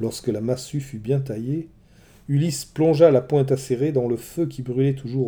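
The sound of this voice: The voice is an unforced reading voice.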